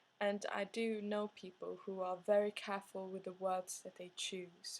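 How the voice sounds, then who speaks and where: In a non-native accent, a woman talks at a moderate pace and a medium pitch. Her intonation is flat and monotone. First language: not English. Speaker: art student and artist. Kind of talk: video diary monologue. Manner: hesitant, many filler sounds.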